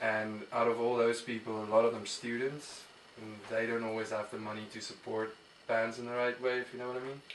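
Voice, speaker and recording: With an Afrikaans South African accent, a man talks fairly quickly at a medium pitch in a monotone, flat intonation. His loudness swings widely over noticeable background noise. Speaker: musician. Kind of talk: casual interview. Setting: studio. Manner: hesitant, many fillers.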